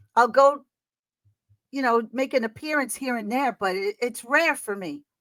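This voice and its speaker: Lively in intonation, a woman speaks at a high pitch and a moderate pace. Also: dry, close sound with no echo. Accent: New York. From New York City, Queens. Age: 60s. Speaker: singer and performer. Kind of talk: interview.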